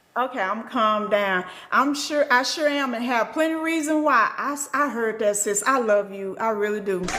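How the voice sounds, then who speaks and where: A woman with a fairly high pitch talks in an animated tone at a moderate pace, her pitch varying in an ordinary way, amid audible room echo and noticeable background noise. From Arkansas, US South. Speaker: spiritual teacher and livestreamer. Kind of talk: live stream teaching with chat shout-outs. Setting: live stream.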